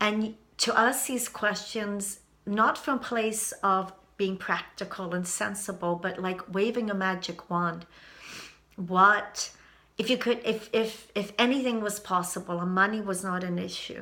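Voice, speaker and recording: A woman at a medium pitch, fairly slow and with fairly even intonation. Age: 60s. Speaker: YouTube vlogger. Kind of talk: personal vlog monologue. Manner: halting.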